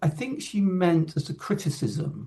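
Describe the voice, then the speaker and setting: The man's intonation is lively. His voice is somewhat breathy. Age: 60s. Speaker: composer. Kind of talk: casual chat.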